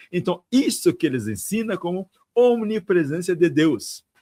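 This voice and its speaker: A man with an African accent, very wide pitch swings, and a dry, close sound with no echo. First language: African language (speaking Portuguese). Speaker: tantric monk. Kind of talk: interview conversation.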